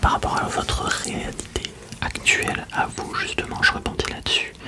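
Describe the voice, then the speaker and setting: Whispering at a very slow pace, a man keeps a calm tone over noticeable background noise. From Lille, northern France. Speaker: ASMR creator. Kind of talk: ASMR roleplay, sleep clinic consultation. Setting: binaural studio recording. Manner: soft-spoken, calm, whispering.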